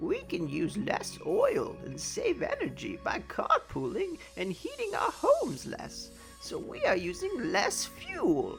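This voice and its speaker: Clear music plays in the background behind a put-on character voice. The delivery comes at a fairly slow pace. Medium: read story.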